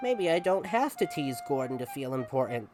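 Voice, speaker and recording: Clear music plays in the background behind a put-on character voice. The pitch sits low-to-middle and the pace is moderate. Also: female-sounding voice. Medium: read story. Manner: cheeky, fussy.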